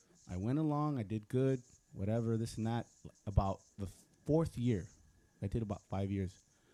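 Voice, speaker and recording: The speaker has a Spanish accent and a dark, mellow tone, with ordinary pitch variation. The pace is moderate, broken by long, frequent pauses. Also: man, medium pitch for a man. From US, Mexican American. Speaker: recording arts alumnus, songwriter. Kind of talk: panel discussion. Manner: casual, halting with repetitions.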